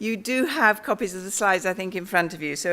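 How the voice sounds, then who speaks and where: The woman's voice has a bright, sharp tone. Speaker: health research scientist. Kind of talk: conference talk. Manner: hesitant with fillers.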